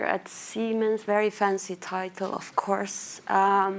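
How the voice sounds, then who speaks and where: A woman with a Finnish accent is heard on a very clean recording with a silent background. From Finland, small town in Lapland. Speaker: marketing manager, conference speaker. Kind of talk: conference presentation. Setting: stage with audience.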